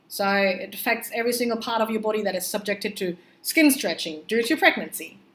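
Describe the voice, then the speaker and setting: Talking at a very fast pace, a woman with a non-native accent uses a fairly high pitch. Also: ordinary pitch variation. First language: not English. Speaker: pregnancy vlogger. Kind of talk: casual vlog monologue. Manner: hesitant with many fillers.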